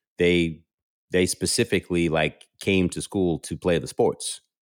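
A man with an American accent speaks at a moderate pace in a very deep, low voice, captured with a dry, close sound and no echo. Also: very clean recording, silent background. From New York City. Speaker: sports commentator and TV host. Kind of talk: casual interview chat.

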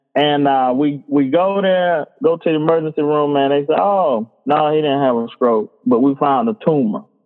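A man speaks with a Georgia accent. His pitch is fairly high, with ordinary pitch variation. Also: moderate pace, hardly any pauses, very even loudness. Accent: Southern US (Georgia). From US South, Bainbridge, Georgia. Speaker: high school coach and author. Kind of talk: casual interview, personal testimony.

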